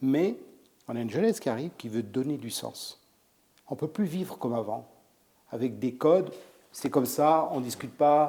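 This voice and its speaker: Speaking with a fairly high pitch and a dark, mellow tone, a man uses lively intonation and long, frequent pauses in a very clean recording with a silent background. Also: moderate pace. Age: 60s. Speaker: chef. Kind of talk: interview. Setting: restaurant salon.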